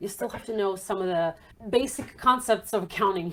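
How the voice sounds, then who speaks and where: A woman speaks with a non-native accent and ordinary pitch variation on a very clean recording with a silent background. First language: not English. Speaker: accountant and entrepreneurship author. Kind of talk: podcast interview. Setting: podcast.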